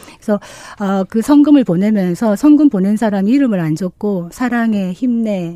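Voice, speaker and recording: With lively intonation, a woman talks in a dark, mellow tone. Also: medium pitch for a woman, moderate pace. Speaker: women's politics researcher. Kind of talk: news commentary. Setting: radio studio.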